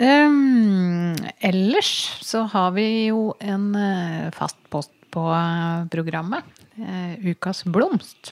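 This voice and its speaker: A woman with a medium pitch and ordinary pitch variation talks at a very slow speed. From Norway, Toten. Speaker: podcast host, journalist. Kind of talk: casual chat.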